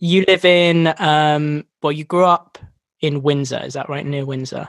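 A man with an English accent speaks at a fairly slow pace and a fairly high pitch, keeping fairly even intonation amid big swings in loudness. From English countryside. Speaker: podcast host, songwriter. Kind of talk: casual chat. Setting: remote call.

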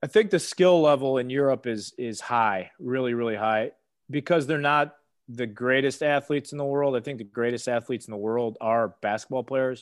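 Against a quiet background, a man with a normal speaking voice talks at a moderate pace and medium pitch. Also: ordinary pitch variation. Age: 30s. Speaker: former basketball player. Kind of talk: casual interview.

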